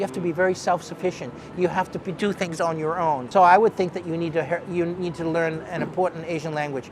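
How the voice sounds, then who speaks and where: Talking very fast with hardly any pauses, a man with an American accent uses a high pitch and fairly even intonation over noticeable background noise. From US Northeast, Boston area. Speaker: business executive. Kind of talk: interview.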